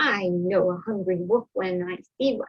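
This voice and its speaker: A woman's put-on character voice at medium pitch and a moderate pace. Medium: read story.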